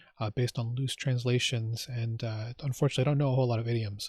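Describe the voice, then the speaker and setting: Very fast, somewhat breathy speech from a man with an American accent, medium in pitch and dark and mellow in tone, dry and close with no echo. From United States. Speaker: YouTube reaction host. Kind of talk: casual vlog intro. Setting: outdoors in front of a bus. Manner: halting, with fillers and repeats.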